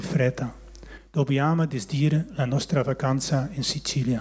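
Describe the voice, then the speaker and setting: In a Dutch accent, the speaker talks at a fairly slow pace with fairly even intonation. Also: man. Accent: Dutch accent in Italian. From Netherlands, West Friesland. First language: Dutch (speaking Italian). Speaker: churchgoer giving testimony. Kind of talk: testimony, reading a prepared text. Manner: halting.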